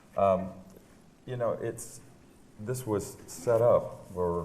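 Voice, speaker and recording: A man speaks in a dark, mellow tone. Audible room echo surrounds his voice. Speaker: real estate agent hosting a panel interview. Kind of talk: live panel interview on stage. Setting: stage with audience. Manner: loud; halting, many fillers.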